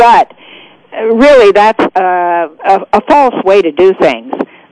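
A woman is heard with a dry, close sound and no echo. Noticeable background noise runs behind her. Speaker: eye doctor. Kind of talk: radio interview. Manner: halting, many fillers.

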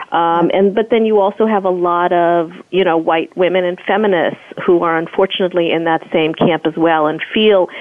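A woman's fairly low-pitched voice amid noticeable background noise. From United States (born in South Africa, moved as young child). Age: 40s. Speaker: professor and activist, author. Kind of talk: interview.

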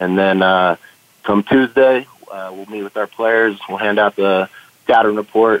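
A man with a normal speaking voice, a fairly low pitch, fairly even intonation and a fairly slow pace. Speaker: college football assistant coach. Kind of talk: interview.

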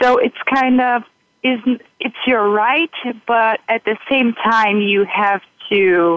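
A woman with a Brazilian accent at a fairly high pitch, very slow pace, very even loudness, ordinary pitch variation, and long, frequent pauses. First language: Portuguese. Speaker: university student, intern.

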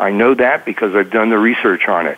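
Noticeable background noise fills the recording. The speaker is a man with an American accent. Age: 70s. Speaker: financial newsletter author. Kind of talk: radio interview.

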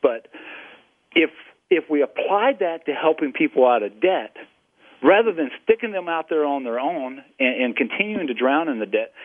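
Speaking with a Southern US accent, a man uses lively intonation at a fairly high pitch. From South Carolina. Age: 40s. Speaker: radio host.

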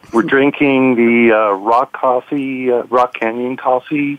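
A man with a normal speaking voice and an American accent talks at a fairly slow pace with a medium pitch. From New York City. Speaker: telecom industry executive. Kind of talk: panel discussion.

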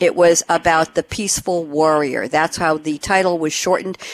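This woman has a New York accent and a fairly low pitch. She talks at a moderate pace, and the sound is dry and close with no echo. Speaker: radio host. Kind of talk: interview. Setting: studio. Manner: animated.

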